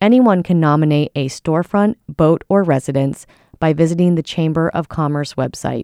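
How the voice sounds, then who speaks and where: A woman speaks at a moderate pace with a very deep, low pitch and ordinary pitch variation, her tone dark and mellow. The recording is very clean with a silent background, and the sound is dry and close with no echo. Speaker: radio news reader. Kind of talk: formal radio newsreading, scripted and steady. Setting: radio studio. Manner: formal, even-paced, polished.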